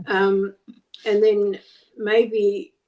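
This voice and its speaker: This woman's voice has a dark, mellow tone. It sits at a medium pitch. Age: 80s+. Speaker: Lyme disease patient. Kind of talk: Q&A question. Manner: halting.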